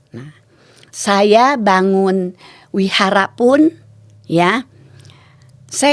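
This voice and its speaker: Lively intonation from a woman at a medium pitch. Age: 70s. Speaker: temple caretaker. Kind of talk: interview.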